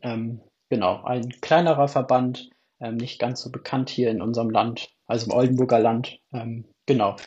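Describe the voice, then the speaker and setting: At a moderate pace, a man with a medium pitch and a somewhat breathy voice speaks with fairly even intonation. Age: 20s. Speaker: theology student and youth church delegate. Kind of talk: casual interview.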